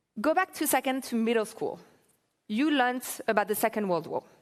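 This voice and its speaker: A woman with a French accent speaks fairly quickly in a fairly high voice with lively intonation. The recording is very clean, with a silent background. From France. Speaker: political activist and keynote speaker. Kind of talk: keynote speech. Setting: conference stage with audience.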